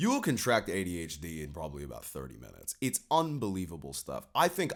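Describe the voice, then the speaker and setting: The background is silent and the recording very clean. A man talks with vocal fry. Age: 20s. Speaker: YouTuber, commentator. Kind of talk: opinion monologue to camera. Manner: casual, many fillers.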